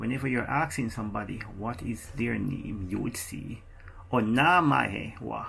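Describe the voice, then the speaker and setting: A man with a Jamaican accent at a fairly slow pace. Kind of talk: casual language explainer to camera. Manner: slow, repeating phrases.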